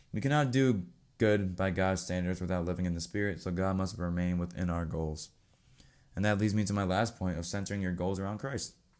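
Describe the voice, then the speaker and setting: Ordinary pitch variation at a fairly quick pace. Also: man, very deep, low pitch for a man. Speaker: podcast host. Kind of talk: solo religious podcast talk. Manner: fast; casual.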